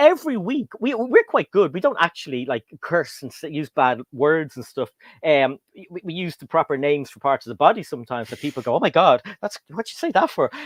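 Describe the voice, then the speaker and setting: In an Irish accent, the voice makes very wide pitch swings and big swings in loudness, with a dry, close sound with no echo and a quiet background. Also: man, fairly high pitch for a man, fairly quick pace. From Ireland. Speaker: LEGO YouTuber and guest host. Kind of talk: casual chat. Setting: livestream.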